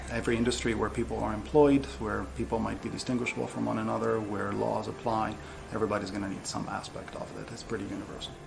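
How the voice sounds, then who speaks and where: Noticeable background noise and audible room echo accompany a man speaking very fast. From Greece (Crete). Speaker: professor. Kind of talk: interview.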